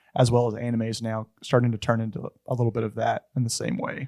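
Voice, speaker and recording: Recorded with a dry, close sound with no echo, a man of medium pitch talks at a very fast pace. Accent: Southern US. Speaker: podcast co-host. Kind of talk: casual chat.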